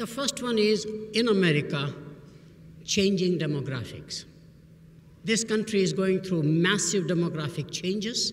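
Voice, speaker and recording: Against noticeable background noise, a man with a high pitch and an Indian accent talks at a moderate pace with ordinary pitch variation and long, frequent pauses. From Burma, Indian family. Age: 70s. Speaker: business professor. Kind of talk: commencement speech.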